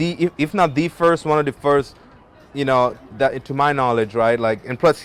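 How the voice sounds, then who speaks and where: A man's fairly high-pitched voice shows ordinary pitch variation as music plays behind him. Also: moderate pace. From Africa, French-speaking. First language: French. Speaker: musician and model. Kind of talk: casual interview.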